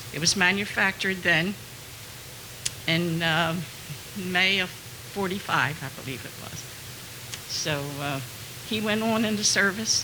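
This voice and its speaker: Woman with an American accent and ordinary pitch variation, long, frequent pauses, noticeable background noise and audible room echo. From New Jersey, Hamilton. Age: 80s+. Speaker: former bookkeeper. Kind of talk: personal testimony.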